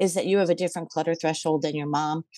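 A woman's fairly low voice, with ordinary pitch variation, comes through against a quiet background. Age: 60s. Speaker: retiree and collector seeking decluttering advice. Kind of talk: casual advice conversation. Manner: halting, lots of fillers and restarts.

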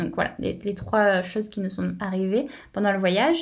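At a medium pitch and fairly quick pace, a woman talks in an unremarkable speaking voice. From southern France, near Béziers. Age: 20s. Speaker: travelling mother, former optician shop owner. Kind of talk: casual interview.

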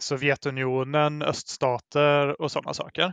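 A man's fairly high-pitched, flat, monotone voice in a dry, close recording with no echo. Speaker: guest, Facebook group admin. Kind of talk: casual conversation.

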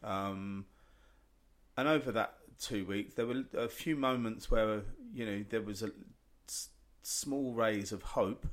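This speaker, with an English accent, uses ordinary pitch variation and leaves long, frequent pauses. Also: man, medium pitch for a man, fairly slow pace. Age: 40s. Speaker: chef. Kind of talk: casual chat.

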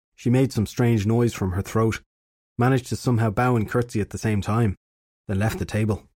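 Over a quiet background, the speaker reads in an unforced voice, keeping the intonation fairly even.

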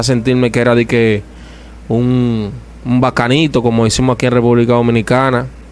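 A man speaks at a moderate pace in a medium pitch, his intonation monotone and flat. Noticeable background noise runs under him. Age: 30s. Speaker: evangelical preacher. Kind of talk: testimony.

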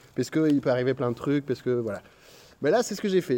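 Against a quiet background, a man talks very fast in a fairly high voice with a dark, mellow tone. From Belgium. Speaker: stand-up comedian. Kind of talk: casual chat.

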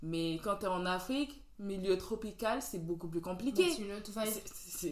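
An ordinary speaking voice proceeds at a fairly slow pace. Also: woman. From Benin. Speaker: podcast host. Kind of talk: casual chat.

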